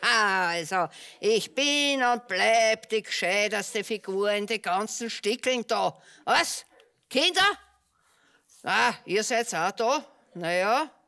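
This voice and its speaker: A woman's cartoonish character voice, fairly high and very slow. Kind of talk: theatrical puppet show monologue. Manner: gloating, conspiratorial.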